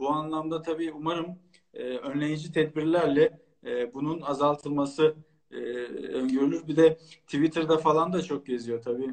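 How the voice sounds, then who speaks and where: This man's voice sits fairly high, and he speaks at a fairly slow pace with fairly even intonation. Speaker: lawyer. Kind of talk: interview.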